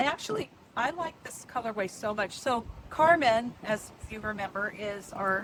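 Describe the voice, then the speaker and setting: Amid noticeable background noise, a woman speaks at a fairly slow pace. Her pitch is fairly high. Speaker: knitting podcaster. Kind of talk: casual chat. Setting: outdoors on a river cruise boat. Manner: loud.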